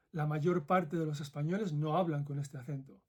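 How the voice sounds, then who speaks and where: A man's fairly high, somewhat breathy voice in a Madrid accent, at a moderate pace with ordinary pitch variation. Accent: Madrid Castilian Spanish. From central Spain (Madrid). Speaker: former ethics professor, video essayist. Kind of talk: commentary monologue.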